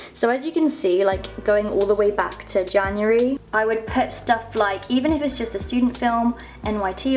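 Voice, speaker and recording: Over music in the background, a woman with a fairly high pitch speaks at a moderate pace with ordinary pitch variation. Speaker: actor and vlogger. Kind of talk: casual vlog talk. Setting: at home in her bedroom. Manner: loud.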